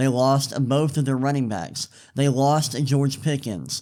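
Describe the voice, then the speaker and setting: An unremarkable speaking voice from a man, fairly high in pitch with ordinary pitch variation, on a very clean recording with a silent background. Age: 20s. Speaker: sports podcast host. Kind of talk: solo sports commentary podcast. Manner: casual, with fillers and repetitions.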